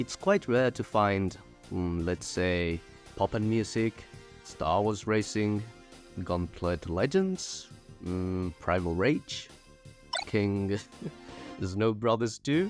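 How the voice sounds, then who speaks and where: A man's fairly low voice at a very slow pace, with long, frequent pauses and music in the background. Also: ordinary pitch variation. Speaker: video essayist. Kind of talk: video essay narration. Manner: casual, humorous.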